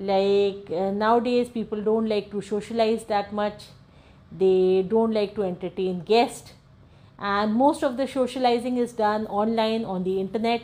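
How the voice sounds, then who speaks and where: This woman has a normal speaking voice with a fairly high pitch. She talks at a fairly slow pace with fairly even intonation. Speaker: storytelling channel host. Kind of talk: true-crime horror narration, told as a story to the audience. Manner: informal, explanatory, with fillers like 'uh'.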